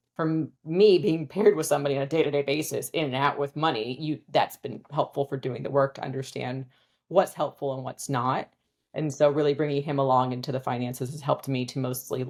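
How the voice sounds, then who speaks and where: With a Californian accent, a woman talks at a fairly quick pace in a very deep, low pitch, her intonation fairly even. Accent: Californian American English. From US, Southern California. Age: 40s. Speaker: financial advisor and business founder. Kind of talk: casual interview chat.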